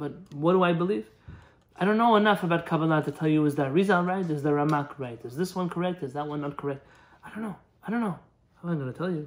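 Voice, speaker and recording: Speaking very fast, a man lets his pitch vary in an ordinary way. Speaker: religious teacher. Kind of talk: live Q&A answer, lecture style. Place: home room. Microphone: phone near.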